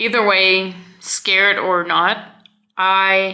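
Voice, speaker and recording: A woman speaks at a medium pitch with a bright, sharp tone. Audible room echo is present. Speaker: vlogger. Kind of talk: casual vlog talk.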